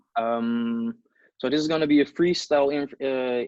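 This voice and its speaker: Fairly even intonation from a man, medium in pitch and moderate in pace. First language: not English. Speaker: interviewer. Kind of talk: interview.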